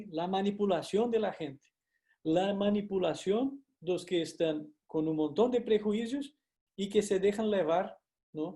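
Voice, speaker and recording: Speech in a Brazilian accent carries a dark, mellow tone and ordinary pitch variation. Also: man. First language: Portuguese (speaking Spanish). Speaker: university lecturer. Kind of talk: lecture. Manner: hesitant, frequent fillers and tag questions.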